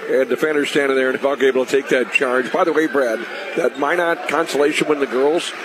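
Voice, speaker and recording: A man talks very fast at a fairly high pitch, with fairly even intonation and very even loudness. Noticeable background noise runs underneath. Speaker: radio color analyst. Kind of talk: live sports commentary. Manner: conversational, analytical, hesitant with filler words.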